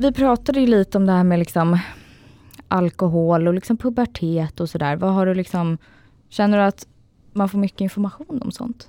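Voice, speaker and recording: A woman's dark, mellow voice at medium pitch, with ordinary pitch variation and a dry, close sound with no echo. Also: moderate pace. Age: 20s. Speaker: podcast host with diabetes. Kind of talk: casual chat.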